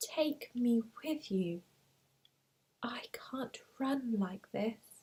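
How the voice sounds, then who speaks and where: A soft-spoken voice with a gentle tone moves at a very slow pace. Long, frequent pauses break up the speech. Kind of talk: read story.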